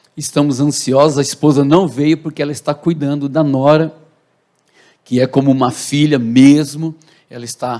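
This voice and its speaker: A man talks at a moderate pace with a fairly high pitch. His tone is dark and mellow, and his intonation is monotone and flat. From Brazil, Santo André (São Paulo). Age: 60s. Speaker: pastor. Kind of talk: testimony. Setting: church.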